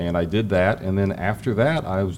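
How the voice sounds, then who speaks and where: A man with an American accent and a fairly low pitch, an unremarkable speaking voice with ordinary pitch variation. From Ohio, US Midwest. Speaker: financial market strategist. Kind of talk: interview conversation. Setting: hotel event venue.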